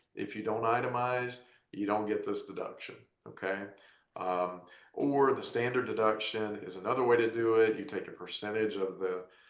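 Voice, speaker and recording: Audible room echo colors the recording. The man keeps his intonation fairly even. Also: medium pitch for a man, moderate pace. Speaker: tax advisor panelist. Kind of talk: webinar presentation.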